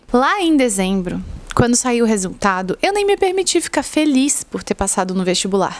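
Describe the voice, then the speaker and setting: A woman talks at a moderate pace in a high voice. Noticeable background noise runs behind her. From southern Brazil, Florianópolis. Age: 20s. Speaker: medical student and vlogger. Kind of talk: casual vlog monologue. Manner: conversational.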